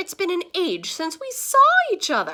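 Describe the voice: Putting on a character voice with an English accent, a woman speaks at a moderate pace, her extremely high pitch swinging very widely in a fairly bright tone. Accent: put-on English.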